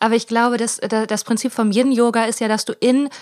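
A woman's fairly high, monotone voice with flat intonation at a moderate pace, dry and close with no echo on a very clean recording against a silent background. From Germany, Ruhr area (Hiesfeld). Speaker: comedian and podcast co-host. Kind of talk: casual chat. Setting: recorded sitting in bed. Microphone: sharing one mic, sound quality poor in first episode.

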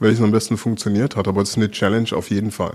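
With fairly even intonation, this man's voice sits at a medium pitch. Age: 50s. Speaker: sports federation director. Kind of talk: interview. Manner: hesitant, with repetitions.

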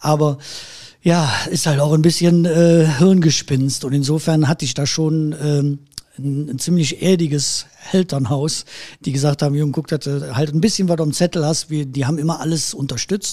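This man's fairly high pitch pairs with a dark, mellow tone and a somewhat breathy quality as he speaks at a moderate pace with fairly even intonation. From Erkelenz, Heinsberg district, Rhineland, Germany. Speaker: musician, keyboard player and music school owner. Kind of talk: interview conversation.

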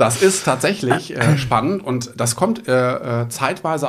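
Noticeable background noise is present. Over it, a man speaks with lively intonation. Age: 40s. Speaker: real estate agent. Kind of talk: interview. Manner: hesitant, many filler sounds.

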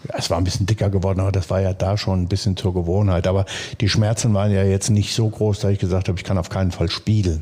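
A somewhat breathy man with a dark, mellow tone talks at a very fast pace with a fairly low pitch and monotone, flat intonation. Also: very even loudness. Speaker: former footballer and stadium announcer. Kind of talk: casual interview. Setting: club office.

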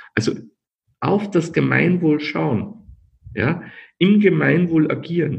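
A man is speaking. His voice has vocal fry. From Austria, Linz. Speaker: company founder. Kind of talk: podcast interview. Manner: halting, many repetitions.

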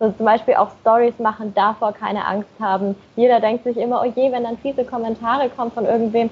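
A woman speaks in a somewhat breathy voice. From Germany, Nuremberg (Franconia). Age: 20s. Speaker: blogger and marketing manager. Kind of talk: podcast interview.

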